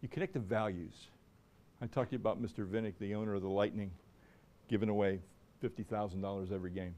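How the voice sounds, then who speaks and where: In an American accent, a man talks at a very fast pace with long, frequent pauses, a fairly low pitch, ordinary pitch variation, and a dark, mellow tone. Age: 60s. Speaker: sports marketing lecturer. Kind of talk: lecture.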